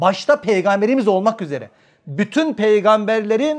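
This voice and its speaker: A man's high-pitched voice with lively intonation and an animated tone, at a moderate pace over a quiet background. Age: 50s. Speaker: family counselor and behavioral scientist. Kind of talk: religious lecture to an audience.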